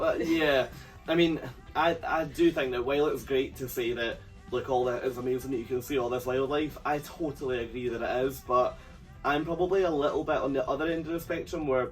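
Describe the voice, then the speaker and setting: Music in the background behind a man's fairly high voice, fairly quick in pace with fairly even intonation. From United Kingdom. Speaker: cruise vlogger. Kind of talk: casual talk to camera.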